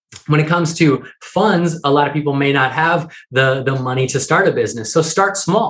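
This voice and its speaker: This man's voice is fairly high in pitch and somewhat breathy. He talks at a fairly quick pace. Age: 30s. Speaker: author and entrepreneur. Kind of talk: interview.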